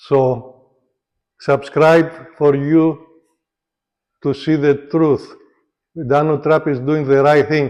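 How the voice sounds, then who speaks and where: With a non-native accent, a man with a fairly high voice speaks at a very slow pace in a monotone, flat intonation, with long, frequent pauses. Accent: foreign. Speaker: political commentator vlogger. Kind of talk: casual monologue vlog. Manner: halting, hesitant.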